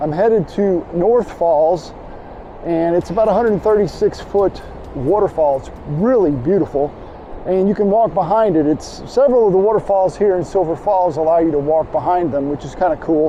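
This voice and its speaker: Noticeable noise sits in the background. The speech moves along moderately. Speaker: landscape photographer and teacher. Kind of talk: outdoor vlog tutorial. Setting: outdoors by a waterfall. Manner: loud, yelling over water.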